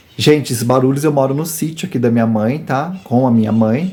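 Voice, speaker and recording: The pitch varies in an ordinary way, and the tempo is moderate. Overall, it is an ordinary speaking voice. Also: man. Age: 40s. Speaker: YouTuber. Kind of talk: personal testimony. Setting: rural farm home.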